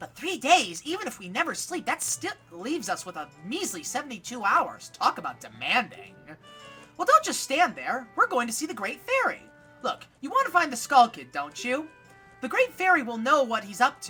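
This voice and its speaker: A man puts on a character voice with an extremely high pitch. He keeps a moderate pace over faint music in the background. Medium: game stream.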